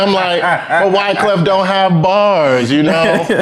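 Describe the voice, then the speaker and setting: With audible room echo, a man in an American accent speaks at a fairly slow pace. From New York, Brooklyn (East New York). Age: 20s. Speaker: rapper and guitarist. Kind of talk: casual interview. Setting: studio with live audience.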